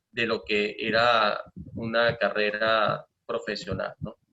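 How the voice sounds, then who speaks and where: At a very slow pace, a man with a medium pitch speaks in a slight Maracaibo accent. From Venezuela, Maracaibo (Zulia). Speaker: professor and materials science researcher. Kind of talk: lecture. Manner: hesitant with frequent fillers.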